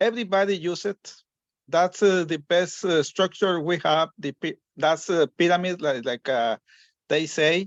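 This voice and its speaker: Dry and close with no echo over a quiet background, a high-pitched man with a Spanish accent speaks fairly slowly with ordinary pitch variation. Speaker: caller. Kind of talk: question on a group call. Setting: conference call. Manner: halting.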